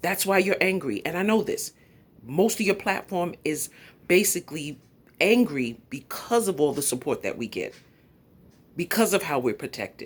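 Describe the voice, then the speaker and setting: Speaking at a moderate pace in a New York accent, a woman with a medium pitch and vocal fry sounds animated, her intonation lively and her pauses long and frequent. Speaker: YouTube commentator. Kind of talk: live stream commentary. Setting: at home.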